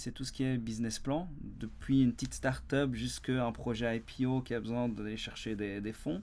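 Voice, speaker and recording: With a Belgian accent, a man talks at a moderate pace in a medium pitch, his intonation fairly even. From Belgium. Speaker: business consultant and company founder. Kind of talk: YouTube explainer monologue. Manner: hesitant, many fillers and repetitions.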